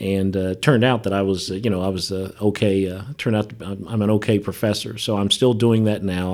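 This is a very clean recording with a silent background. The voice carries an American accent. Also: man. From Ohio (Dayton). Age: 50s. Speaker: nonprofit executive and professor. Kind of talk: interview conversation. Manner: halting, many fillers.

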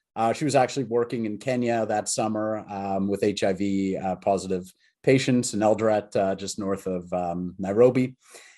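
Dark, mellow tone from a man with a Canadian accent, fairly low in pitch, fairly even intonation, quiet background. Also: moderate pace. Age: middle-aged. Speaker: tech entrepreneur. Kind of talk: interview. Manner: halting, many fillers.

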